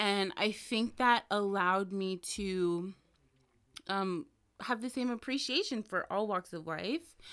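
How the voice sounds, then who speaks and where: A woman at a very slow pace with an American accent and ordinary pitch variation. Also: medium pitch for a woman, very clean recording, silent background. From Washington State, US (small town). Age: 20s. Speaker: plus size model. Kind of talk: casual chat. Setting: studio.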